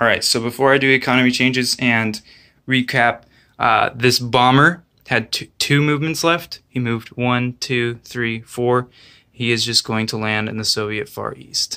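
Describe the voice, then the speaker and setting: This man's voice sits at a medium pitch with fairly even intonation and a bright, sharp tone, captured in a very clean recording with a silent background. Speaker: board game player narrating his turn. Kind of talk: casual gameplay commentary. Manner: slow, hesitant with fillers.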